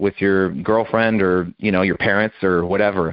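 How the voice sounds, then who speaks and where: Fairly low male voice, monotone and flat in intonation, at a moderate pace. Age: 20s. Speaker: army veteran and writer. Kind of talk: interview.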